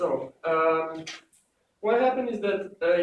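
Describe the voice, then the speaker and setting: A man speaks with a strong Serbian accent. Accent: thick Serbian. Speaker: student presenter. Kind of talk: class presentation. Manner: halting, many fillers.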